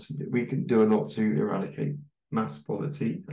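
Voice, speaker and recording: With a British accent, a man speaks at a moderate pace. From UK. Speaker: English teacher and podcaster. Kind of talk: casual interview chat.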